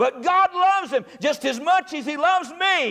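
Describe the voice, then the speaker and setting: Noticeable background noise sits behind a speaker with a North Carolina accent. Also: man. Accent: Southern US (North Carolina). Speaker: Baptist preacher. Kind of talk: Sunday morning sermon, folksy revivalist preaching with humorous asides. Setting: church service with congregation. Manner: rhythmic, emphatic repetition in climactic gospel appeal.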